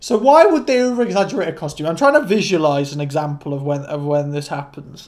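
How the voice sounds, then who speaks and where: Talking at a very fast pace, a man with a fairly high voice shows ordinary pitch variation. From UK. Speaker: YouTuber, university student; YouTuber. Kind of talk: casual commentary while doing quiz. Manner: loud. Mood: playful, self-mocking. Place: home room. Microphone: studio mic.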